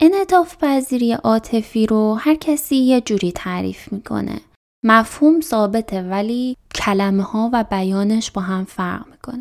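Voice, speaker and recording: On a very clean recording with a silent background, a woman with a plain, everyday voice speaks fairly slowly with lively intonation. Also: fairly high pitch for a woman. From Iran, Chaharmahal and Bakhtiari. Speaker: podcast host. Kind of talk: scripted narration.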